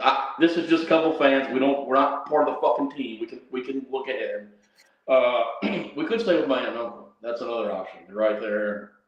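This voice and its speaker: Over audible room echo, a man talks at a fairly quick pace with big swings in loudness. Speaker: sports livestream host. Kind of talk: casual chat. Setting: livestream from bathroom, then closet.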